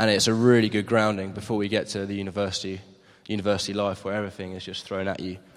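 A man speaks very fast with a southern English accent, his fairly low voice flat and monotone. There is audible echo from the room. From Maidenhead, southern England. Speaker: gap year volunteer. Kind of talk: interview. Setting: church.

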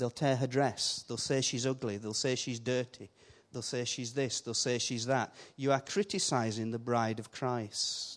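A man speaks with a Yorkshire accent at medium pitch. The background is quiet. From Yorkshire, northern England. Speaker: visiting preacher. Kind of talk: sermon. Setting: church. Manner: animated.

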